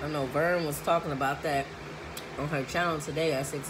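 With noticeable background noise, a woman speaks fairly quickly in a very deep, low pitch and flat, monotone intonation. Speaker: food vlogger. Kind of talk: casual vlog chat. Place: home room. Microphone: phone near.

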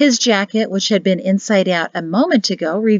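The passage comes in an unforced reading voice.

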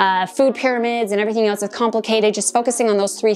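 The speech comes at a very fast pace with fairly even intonation, against light background noise. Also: woman. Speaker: fitness coach. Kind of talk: tutorial. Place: home room.

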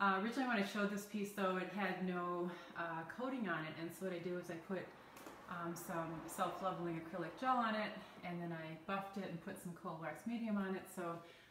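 Over light background noise and with audible room echo, a woman speaks at a fairly quick pace with fairly even intonation. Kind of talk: casual vlog chat. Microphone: phone near.

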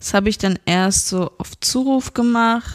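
A woman's plain, everyday voice, fairly high in pitch, with ordinary pitch variation and a fairly slow pace, dry and close with no echo in a very clean recording with a silent background. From Germany, Frankfurt area. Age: 20s. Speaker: podcast guest. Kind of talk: casual chat. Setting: host's living room.

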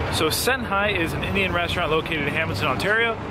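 Against loud background noise, a man talks at a fairly quick pace, and the sound is dry with no echo. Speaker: food vlogger. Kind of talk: casual vlog chat. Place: street. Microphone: phone near.

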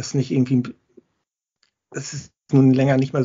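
A somewhat breathy man speaks at a medium pitch and a moderate pace. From Hamburg, northern Germany. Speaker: football fan guest. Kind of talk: casual chat.

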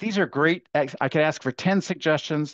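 An energetic man at a fairly high pitch and a moderate pace, in a dry sound with no echo over a quiet background. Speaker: education speaker and workshop facilitator; speaker, workshop facilitator. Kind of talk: webinar workshop. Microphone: webcam.

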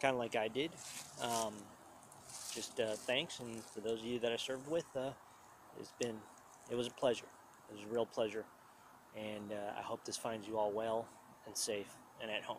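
Amid noticeable background noise, a man talks at a moderate pace with fairly even intonation and long, frequent pauses, the sound dry with no echo. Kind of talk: casual vlog chat. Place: forest. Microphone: phone near.

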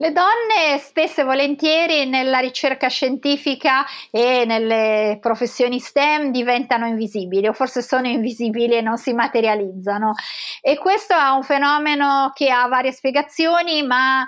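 Against a quiet background, a woman speaks high with very even loudness. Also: ordinary pitch variation, moderate pace. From Italy, Tuscany (Florence) and Genoa; Italy. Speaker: professor of pathology and cancer researcher; professor. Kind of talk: interview. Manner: hesitant, with fillers. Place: home room. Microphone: webcam.

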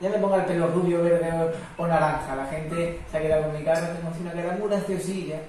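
Audible room echo surrounds the speech. The pace is fast and the intonation fairly even. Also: man, fairly high pitch for a man.

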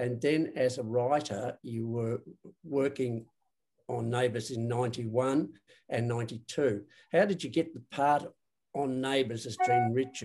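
Fairly even in intonation, a man talks at a fairly slow pace. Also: medium pitch for a man, slightly mellow tone.

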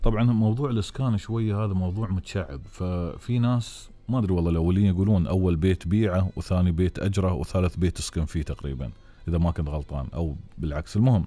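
Speaking with hardly any pauses, a man with an Emirati accent has a very deep, low pitch. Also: ordinary pitch variation, moderate pace. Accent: Emirati Gulf Arabic. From UAE. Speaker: radio and TV host. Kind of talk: live call-in show. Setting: studio. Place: studio. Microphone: studio mic.

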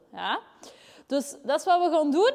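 A woman talks at a fairly slow pace and an extremely high pitch. The background is quiet. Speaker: fitness coach. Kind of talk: workout tutorial. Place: gym. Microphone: lapel.

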